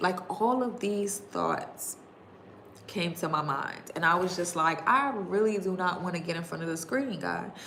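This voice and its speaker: With a New York accent, a woman speaks amid noticeable background noise and audible room echo. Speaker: digital marketing coach. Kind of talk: livestream talk to viewers. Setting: YouTube livestream. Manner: fast.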